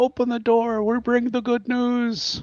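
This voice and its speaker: Against a quiet background, a man does a put-on character voice at an extremely high pitch, speaking fairly slowly in a flat monotone. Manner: muffled, speaking from behind a door.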